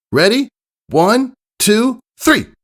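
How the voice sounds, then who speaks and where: A man does a put-on character voice at an extremely high pitch. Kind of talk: fan reading of pony fanfiction. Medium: read story. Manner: brash, energetic, confident.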